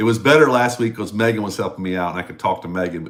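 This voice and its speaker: A man talks with a Tennessee accent. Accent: US Southern (Tennessee). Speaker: singer-songwriter. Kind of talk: casual livestream chat. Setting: home basement studio livestream. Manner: halting. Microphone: broadcasting microphone in echoey room.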